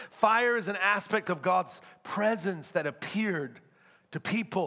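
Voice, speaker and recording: This man's voice sits high in pitch, with a bright, sharp tone. He sounds animated throughout. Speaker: preacher. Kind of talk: sermon. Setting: church. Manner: animated, fervent preaching with call-and-response urging; rhetorical, building with repeated phrases and humor.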